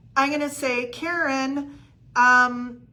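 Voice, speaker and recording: A woman's raised, projected voice, high-pitched with a bright, sharp tone and audible room echo. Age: 60s. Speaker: real estate coach. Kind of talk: livestream coaching talk. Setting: live video stream. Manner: casual with many fillers.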